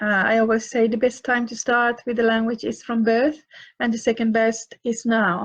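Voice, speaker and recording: Speaking with a Finland Swedish accent, a woman uses a fairly high pitch and monotone, flat intonation at a moderate pace. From Finland, Swedish-speaking minority. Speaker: author and parenting advisor. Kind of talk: live Q&A session. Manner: halting, many fillers and repeats.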